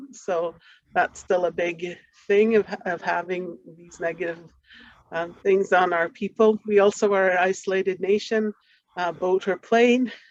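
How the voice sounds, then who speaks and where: In a dry, close sound with no echo, a woman uses a normal speaking voice at a medium pitch and fairly slow pace, her intonation fairly even but her loudness swinging widely. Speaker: community partner in health research. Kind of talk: conference presentation.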